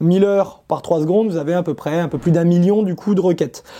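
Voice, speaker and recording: Speech at a fairly quick pace, very clean recording, silent background. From France. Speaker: startup founder. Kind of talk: interview.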